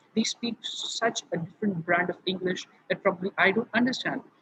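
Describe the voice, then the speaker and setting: In an Indian accent, a man speaks at a high pitch with ordinary pitch variation, captured in a dry, close sound with no echo. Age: young. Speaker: student speaker. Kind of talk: online panel talk.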